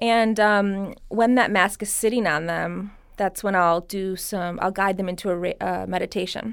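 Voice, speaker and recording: A woman with an American accent on a very clean recording, the background silent. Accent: slight Persian accent at moments. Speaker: cosmetic skincare artist and Reiki healer. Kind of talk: casual interview.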